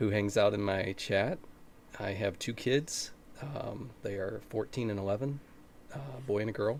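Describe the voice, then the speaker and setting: Long, frequent pauses break up speech at a moderate pace with ordinary pitch variation. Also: man, fairly low pitch for a man. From US Midwest, Ohio. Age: 40s. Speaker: Twitch streamer. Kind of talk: casual chat. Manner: hesitant, many fillers.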